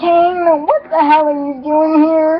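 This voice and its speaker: Using a put-on character voice, a woman speaks at an extremely high, squeaky pitch with monotone, flat intonation and a fairly slow pace. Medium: read story.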